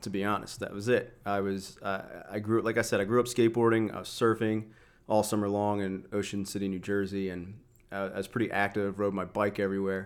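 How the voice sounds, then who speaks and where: An ordinary speaking voice: a man with a fairly low pitch and fairly even intonation talks at a fairly quick pace on a very clean recording with a silent background. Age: 30s. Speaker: weightlifting coach. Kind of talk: casual chat.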